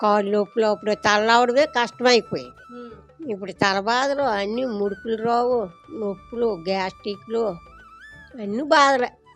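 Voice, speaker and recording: A woman's fairly high voice with ordinary pitch variation, music playing behind her. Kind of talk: interview answer.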